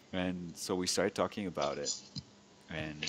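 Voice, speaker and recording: Moderate-paced speech from a man, monotone and flat in intonation. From France. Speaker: podcast host. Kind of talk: interview. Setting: video call.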